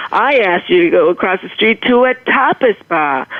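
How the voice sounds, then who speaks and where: With a slight Boston accent, a woman speaks at a moderate pace against noticeable background noise. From Boston, Massachusetts. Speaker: motivational humorist, author. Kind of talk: storytelling in interview.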